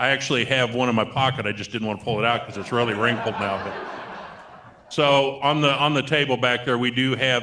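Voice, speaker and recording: Noticeable background noise runs under the recording. A man speaks at a fairly quick pace and medium pitch with fairly even intonation. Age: 60s. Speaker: state aging-services program representative. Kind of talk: seminar panel Q&A.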